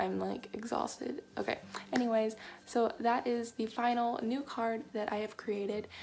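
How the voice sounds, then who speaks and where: A woman whispers at a moderate pace. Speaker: craft vlogger. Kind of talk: tutorial. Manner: whispering; casual, rambling.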